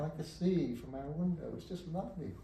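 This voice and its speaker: A man with a New Zealand accent talks at a moderate pace with lively intonation, amid noticeable background noise and audible room echo. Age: 80s+. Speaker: poet. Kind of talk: book launch speech. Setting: bookshop event with audience.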